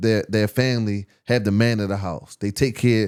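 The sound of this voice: In a very clean recording with a silent background, a man speaks at a moderate pace in a fairly low voice, his tone clear, smooth and slightly mellow with fairly even intonation.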